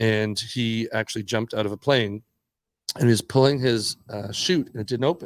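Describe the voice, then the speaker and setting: With a Canadian accent, a man talks at a moderate pace and medium pitch, showing ordinary pitch variation. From Canada. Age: 60s. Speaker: skateboarder and entrepreneur. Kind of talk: casual podcast interview. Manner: animated storytelling.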